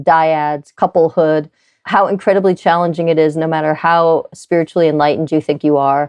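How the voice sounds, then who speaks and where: At a moderate pace, a woman speaks at fairly low pitch in an unremarkable speaking voice. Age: 50s. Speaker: medical doctor and author. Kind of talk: podcast interview.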